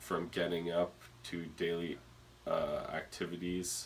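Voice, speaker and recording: A man with a very deep, low voice at a fairly slow pace. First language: not English. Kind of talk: presentation speech. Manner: hesitant, some stuttering.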